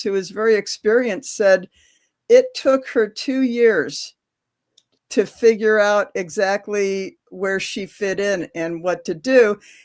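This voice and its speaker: A woman with an American accent, fairly high pitch, ordinary pitch variation and a very slow pace, in a very clean recording with a silent background. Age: 70s. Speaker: patient advocate volunteer. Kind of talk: video interview.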